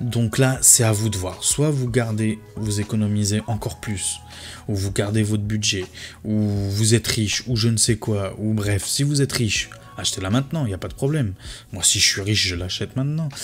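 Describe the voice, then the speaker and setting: A man's voice sits fairly low. Background music plays beneath him. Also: ordinary pitch variation. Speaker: tech youtuber. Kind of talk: casual video commentary. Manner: fast; hesitant with fillers.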